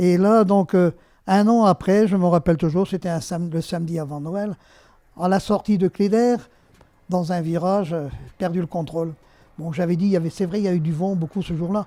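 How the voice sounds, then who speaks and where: With a dark, mellow tone, the speaker keeps a moderate pace and fairly even intonation, pausing long and often. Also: man, high pitch for a man. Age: 70s. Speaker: retired resident sharing memories. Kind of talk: personal testimony. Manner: hesitant, many fillers.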